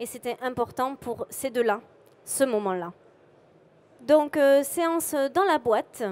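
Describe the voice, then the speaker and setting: A woman speaks at a very slow pace in a high voice with lively intonation. Long, frequent pauses break up her speech. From southwest France, Montauban. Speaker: photographer. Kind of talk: conference talk presenting photos. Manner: bubbly.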